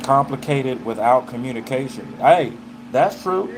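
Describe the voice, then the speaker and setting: Amid noticeable background noise, a man with a Southern US accent speaks with very wide pitch swings. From US South, Arkansas. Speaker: live streamer. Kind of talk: casual chat. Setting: livestream. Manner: animated.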